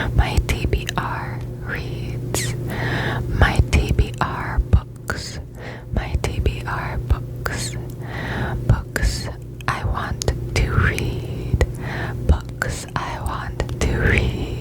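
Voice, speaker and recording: Over noticeable background noise, a woman speaks at a very slow pace. Her very deep, low voice holds a monotone, flat intonation. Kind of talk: ASMR whisper video, casual talk to camera. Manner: repetitive triggers, slow, soft-spoken.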